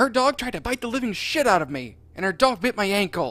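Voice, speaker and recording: Someone shouts in a gruff, put-on character voice with a fairly high pitch. The pace is fairly quick. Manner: shouting, mean.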